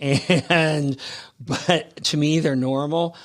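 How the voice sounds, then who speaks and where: A man with an American accent, fairly high in pitch, at a very slow pace with ordinary pitch variation. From US Midwest, Cincinnati, Ohio. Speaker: fashion designer. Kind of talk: interview. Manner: halting.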